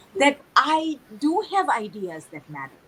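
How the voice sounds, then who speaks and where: A woman speaks at a fairly slow pace, her pitch swinging very widely. Noticeable background noise runs underneath. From Tanzania. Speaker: author and speaker. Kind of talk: interview. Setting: livestream.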